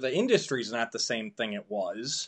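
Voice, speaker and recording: A man with an American accent, an ordinary speaking voice, medium pitch, lively intonation and a moderate pace. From United States. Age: 30s. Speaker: podcast host. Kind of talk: casual interview chat.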